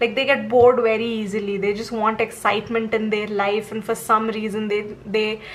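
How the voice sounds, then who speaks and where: With noticeable background noise behind her, a woman speaks in a monotone, flat way at a fairly high pitch. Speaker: tarot reader. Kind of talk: tarot reading monologue.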